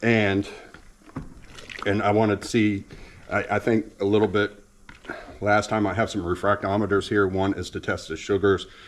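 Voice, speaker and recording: There is noticeable background noise behind a man with an American accent. His pitch is fairly low and his pace moderate. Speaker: home ethanol experimenter, video blogger. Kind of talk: casual vlog explanation. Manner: halting, many fillers and restarts.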